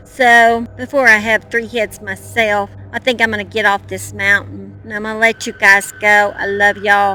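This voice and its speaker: With music in the background, a woman with an American accent speaks at a moderate pace. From Oklahoma. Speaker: true crime youtuber. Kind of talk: casual vlog narration. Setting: outdoors on a mountain. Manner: animated.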